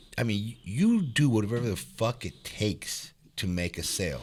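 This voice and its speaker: In a very clean recording with a silent background, a somewhat breathy man speaks with very wide pitch swings. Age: 40s. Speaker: podcast host. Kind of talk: casual chat. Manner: animated.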